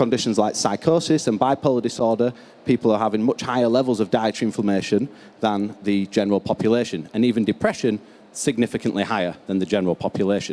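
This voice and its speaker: A man talks at a very fast pace in a fairly low pitch. His tone is dark and mellow, with ordinary pitch variation. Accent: strong northern English. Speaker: research scientist. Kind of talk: conference keynote presentation.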